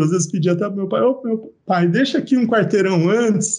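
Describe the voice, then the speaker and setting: A man's pitch varies in an ordinary way as he moves along at a fairly quick pace. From Brazil, interior of São Paulo state (Araraquara). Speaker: university professor and geneticist. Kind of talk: casual interview. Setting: video podcast.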